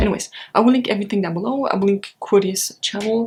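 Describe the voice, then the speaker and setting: A woman at a fairly quick pace with fairly even intonation. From Europe. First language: German. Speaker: book vlogger. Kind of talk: casual vlog.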